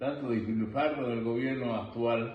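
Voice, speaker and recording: Amid noticeable background noise and audible room echo, a man at medium pitch talks at a fairly slow pace with fairly even intonation. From Bolivia, Vallegrande. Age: 70s. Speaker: interviewee, grandfather. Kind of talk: interview.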